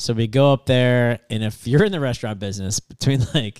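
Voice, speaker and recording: A man with an American accent speaks at a very fast pace in a medium pitch, his voice dry and close with no echo on a very clean recording with a silent background. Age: 40s. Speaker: podcast host. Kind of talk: casual chat. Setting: studio.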